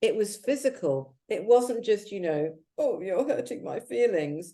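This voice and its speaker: A woman with a London accent speaks at a fairly slow pace, her fairly high voice dark and mellow in tone, with vocal fry. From London, England (arrived from Jamaica aged five). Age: 60s. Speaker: activist and author. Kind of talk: interview. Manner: animated.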